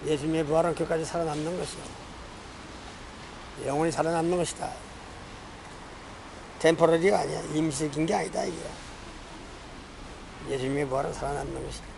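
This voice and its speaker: Over noticeable background noise, a man with a fairly high pitch talks at a very fast pace, broken by long, frequent pauses. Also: fairly even intonation. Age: 80s+. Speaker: evangelist preacher. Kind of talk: sermon preaching. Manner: repetitive, emphatic.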